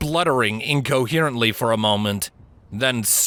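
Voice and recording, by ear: A passage is read aloud. The reader's voice is natural.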